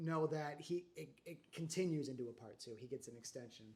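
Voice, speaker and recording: The man is soft-spoken, with a dark, mellow tone. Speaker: podcast co-host. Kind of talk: casual chat. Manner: halting.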